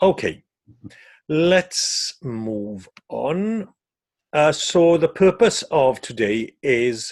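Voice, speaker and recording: A man with a Welsh accent speaks at a very slow pace in a fairly high voice, his pitch swinging very widely between long, frequent pauses. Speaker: safeguarding trainer. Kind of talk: training webinar. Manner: hesitant, many fillers.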